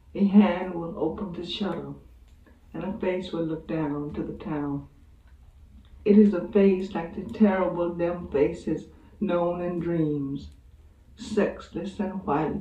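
The speech moves at a very slow pace with long, frequent pauses and audible room echo. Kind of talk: literary reading. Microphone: old recording.

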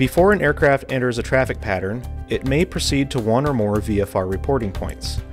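A man speaks with faint music in the background. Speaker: air traffic control instructor. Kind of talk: tutorial. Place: studio. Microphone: lapel.

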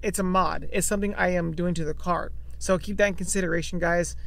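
The man talks at a fairly quick pace, and the sound is dry with no echo. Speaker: car owner vlogger. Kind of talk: casual vlog chat. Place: car. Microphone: phone near.

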